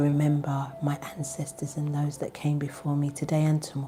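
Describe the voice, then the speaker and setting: A quiet, somewhat breathy woman speaks with a very deep, low pitch and a dark, mellow tone. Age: 40s. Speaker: spiritual tarot reader. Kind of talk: live stream casual chat with prayer. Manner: quiet, talking low.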